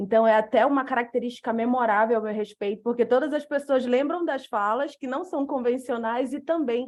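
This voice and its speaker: A woman speaks at a moderate pace with a high pitch. She has a northern Brazilian accent, and the background is quiet. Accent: northern Brazilian, dragged R and hissing S. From northern Brazil, Macapá, Amapá. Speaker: lawyer and speaker on legal design. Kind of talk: lecture presentation.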